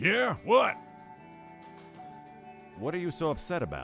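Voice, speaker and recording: A man's gruff, put-on character voice, fairly high in pitch and moderate in pace, over clear music in the background. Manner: cranky, irritable.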